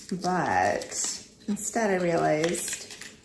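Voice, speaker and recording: Amid noticeable background noise, a soft-spoken woman with a medium pitch talks in a calm, relaxed tone. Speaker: relationship strategist. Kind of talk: ASMR conversational talk to camera. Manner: soft-spoken, slow.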